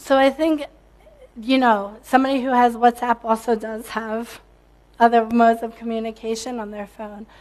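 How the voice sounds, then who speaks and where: At a moderate pace, a woman speaks with monotone, flat intonation. Her loudness rises and falls in big swings. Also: fairly high pitch for a woman. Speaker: tech company CEO. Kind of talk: conference talk.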